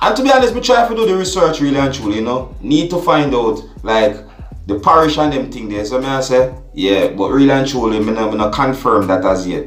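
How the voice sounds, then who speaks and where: Over music in the background, a man with a Jamaican accent talks at a fairly quick pace. His medium pitch makes very wide swings. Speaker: vlogger. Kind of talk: vlog commentary.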